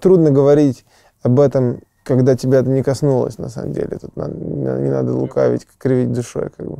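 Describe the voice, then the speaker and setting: A man with a Serbian accent talks at a moderate pace with big swings in loudness, in a dry sound with no echo over a quiet background. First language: Serbian (speaking Russian). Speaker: rock band singer-songwriter; interviewee. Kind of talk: interview. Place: studio. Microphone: lapel.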